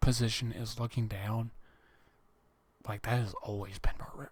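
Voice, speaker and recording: Somewhat breathy and monotone, a man speaks at a moderate pace and medium pitch with flat intonation. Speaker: gaming vlogger. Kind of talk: casual vlog monologue. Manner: halting, many fillers.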